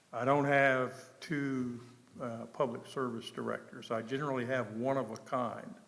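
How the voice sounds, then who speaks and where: With fairly even intonation, a man speaks amid audible room echo and noticeable background noise. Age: 70s. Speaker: town manager. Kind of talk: public meeting presentation. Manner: halting, many fillers.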